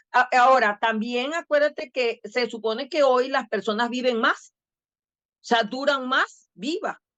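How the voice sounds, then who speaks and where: A woman talks at a high pitch with ordinary pitch variation and a fairly slow pace. The sound is dry and close with no echo, over a quiet background. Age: 60s. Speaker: educational technology expert. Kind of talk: podcast interview. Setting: video podcast.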